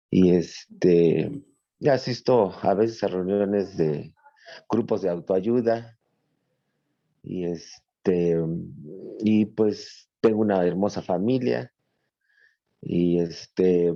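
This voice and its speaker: In a central Mexican accent, a man speaks at a very slow pace with long, frequent pauses. His fairly low voice has a dark, mellow tone and lively intonation. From Mexico City. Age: 50s. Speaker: adult student. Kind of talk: class introduction on video call. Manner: halting, many fillers.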